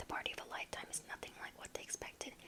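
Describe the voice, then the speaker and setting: A woman is whispering. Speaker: ASMR creator. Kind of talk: ASMR book ramble. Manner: whispered.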